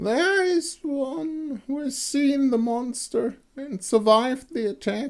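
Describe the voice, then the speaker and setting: A raspy, put-on character voice at a high pitch delivers its lines at a fairly slow pace. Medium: read story.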